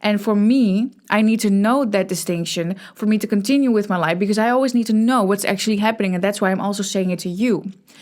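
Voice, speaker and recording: In a very clean recording with a silent background, a woman with a Dutch accent speaks very fast with hardly any pauses, at a medium pitch and with fairly even intonation. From Netherlands. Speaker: podcast host. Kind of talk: casual monologue. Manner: halting, many false starts.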